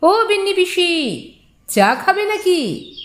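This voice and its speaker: A woman performs a put-on character voice. It is squeaky and extremely high in pitch. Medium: read story.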